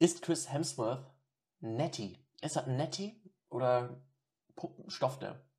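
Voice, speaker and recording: Very slowly and with long, frequent pauses, a man speaks at a medium pitch in a dark, mellow tone that is somewhat breathy. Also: ordinary pitch variation. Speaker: film podcast host. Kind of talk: casual chat.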